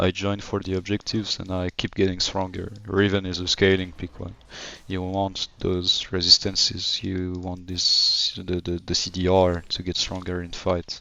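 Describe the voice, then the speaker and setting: A man with an American accent and a very deep, low pitch speaks in a monotone, flat way at a moderate pace over noticeable background noise. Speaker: gamer streamer / coach. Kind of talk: gameplay commentary tutorial. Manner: casual, many filler words.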